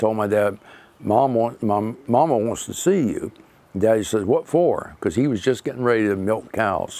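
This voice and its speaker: With a Florida accent, the speaker talks at a moderate pace with ordinary pitch variation. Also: man. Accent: Southern US (old Florida). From Florida, Palm Beach County area. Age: 80s+. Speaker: local pioneer family elder. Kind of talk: oral history interview.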